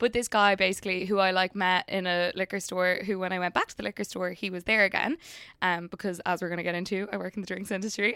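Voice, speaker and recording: A woman's bright, sharp tone at medium pitch, very fast and monotone with flat intonation, dry and close with no echo. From Ireland. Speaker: brand director in family business. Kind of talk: casual chat.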